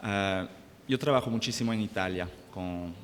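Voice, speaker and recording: A man's fairly low voice with a French accent, at a fairly slow pace. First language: French (speaking Spanish). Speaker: business manager. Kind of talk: panel discussion. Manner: halting, many fillers.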